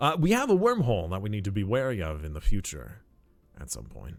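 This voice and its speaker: Music plays in the background. A man speaks at a fairly low pitch. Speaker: streamer playing a strategy game. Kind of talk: casual gameplay chat. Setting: live stream.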